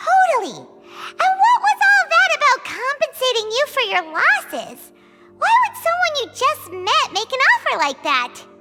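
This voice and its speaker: A squeaky, cartoonish character voice, extremely high-pitched with very wide pitch swings, at a moderate pace, with faint music in the background. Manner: lively, blunt, excitable.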